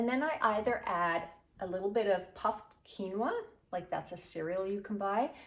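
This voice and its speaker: A woman talks at a moderate pace with a medium pitch and ordinary pitch variation. Her tone is animated. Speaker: cooking video host. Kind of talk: cooking tutorial.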